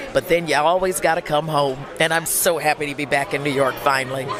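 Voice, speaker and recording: A woman talks at a fairly quick pace with crowd noise behind her. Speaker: voice actor. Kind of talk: interview answer. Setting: outdoors, red carpet event.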